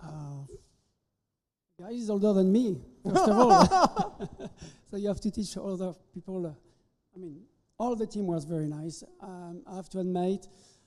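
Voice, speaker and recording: A man with a French accent and a high pitch talks at a moderate pace with ordinary pitch variation, big swings in loudness, and long, frequent pauses. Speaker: chef instructor. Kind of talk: ceremony interview. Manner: halting.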